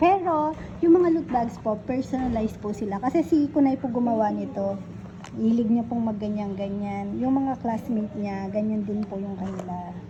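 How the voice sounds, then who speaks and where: Against noticeable background noise, a woman speaks at a moderate pace. Her fairly high voice has lively intonation. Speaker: vlogger and mother running a lechon shop. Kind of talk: casual vlog narration. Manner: animated.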